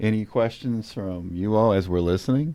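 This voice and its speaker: This man has an unremarkable speaking voice, fairly low in pitch with ordinary pitch variation. He talks at a moderate pace. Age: 60s. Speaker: podcast host. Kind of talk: casual chat.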